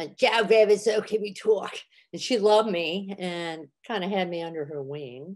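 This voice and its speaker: A woman's unremarkable speaking voice at medium pitch, ordinary pitch variation, moderate pace and big swings in loudness. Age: 60s. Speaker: comedian and therapist. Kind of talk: podcast interview.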